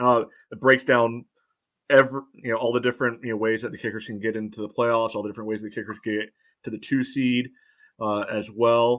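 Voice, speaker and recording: Heard on a very clean recording with a silent background, a man speaks fairly quickly at medium pitch in a monotone, flat intonation. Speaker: soccer analyst guest. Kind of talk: casual chat. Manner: analytical.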